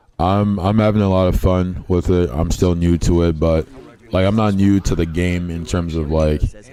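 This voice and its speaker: Over noticeable background noise, a man with a very deep, low pitch talks with fairly even intonation. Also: moderate pace. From Liberia, raised partly in Boston. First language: Liberian English. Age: 20s. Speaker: gaming streamer. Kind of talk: casual livestream chat while gaming.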